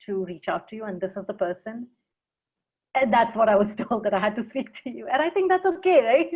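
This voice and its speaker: An American accent colors a woman's normal speaking voice, pitched fairly high. She talks at a fairly quick pace with lively intonation. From mixed: India, Africa, England, US. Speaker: consultant and speaker. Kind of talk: casual interview. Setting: video call.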